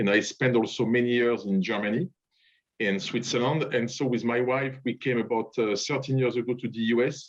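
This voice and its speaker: Against a quiet background, a man with a French accent talks at a moderate pace in a medium pitch. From France. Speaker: diplomat. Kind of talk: speech at online event. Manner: halting.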